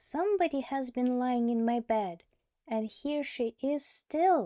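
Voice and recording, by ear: In a very clean recording with a silent background, a woman does a squeaky, high-pitched put-on character voice at a fairly slow pace.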